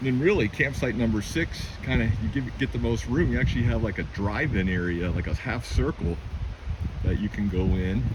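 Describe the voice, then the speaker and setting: A man with a fairly low pitch speaks at a fairly quick pace, with very wide pitch swings. Noticeable background noise and audible room echo are present. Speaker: camping vlogger. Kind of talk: walking tour vlog. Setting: outdoors. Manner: casual, enthusiastic.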